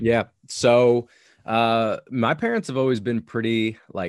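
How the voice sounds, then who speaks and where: A plain, everyday voice with an American accent at a fairly slow pace, dry and close with no echo, on a very clean recording with a silent background. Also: man. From Long Island, New York. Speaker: powerlifting coach. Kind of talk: interview. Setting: podcast recording.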